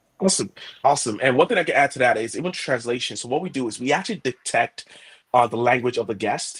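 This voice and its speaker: A man talks at a very fast pace in an animated tone, his intonation lively and his voice somewhat breathy, with a dry, close sound and no echo. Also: medium pitch for a man. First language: Yoruba. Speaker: head of product. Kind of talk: product webinar discussion.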